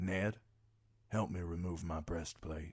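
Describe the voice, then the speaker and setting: A man's put-on character voice, very deep and low in pitch, with fairly even intonation and a fairly slow pace. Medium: read story. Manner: grave, formal.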